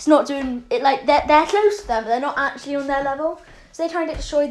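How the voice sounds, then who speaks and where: A woman with a high voice. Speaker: fan fiction storyteller. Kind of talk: casual storytelling monologue. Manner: fast; halting, many fillers.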